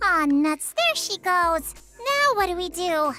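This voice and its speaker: Music plays in the background as a squeaky, put-on character voice at an extremely high pitch talks at a fairly slow pace. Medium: video game. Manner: casual, chatty.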